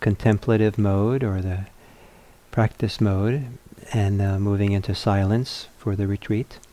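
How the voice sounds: A soft-spoken man talks at a fairly slow pace, his pitch fairly low and his tone dark and mellow.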